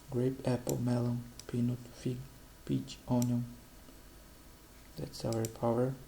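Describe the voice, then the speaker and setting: The speaker talks at a very slow pace in a Portuguese accent over noticeable background noise. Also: man. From Brazil. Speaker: economist, channel host. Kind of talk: informal explainer presenting data on screen. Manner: halting, frequent hesitations and restarts.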